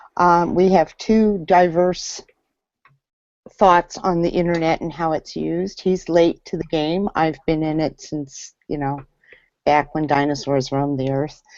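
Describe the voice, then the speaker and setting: A normal speaking voice, fairly slow pace, fairly even intonation. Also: woman, fairly low pitch for a woman. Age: 50s. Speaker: business consultant. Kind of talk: panel discussion.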